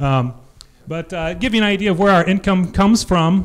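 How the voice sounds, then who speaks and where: This is a man with a Midwestern American accent. His pace is moderate. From Iowa, Jefferson; Iowa. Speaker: cider maker and orchard farmer; presenter. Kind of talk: conference presentation. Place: hall. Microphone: handheld.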